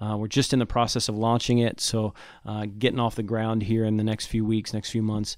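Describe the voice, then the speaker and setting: A man delivers his words at a fairly quick pace with a medium pitch. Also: very clean recording, silent background. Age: 40s. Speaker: pastor. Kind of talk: interview. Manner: animated.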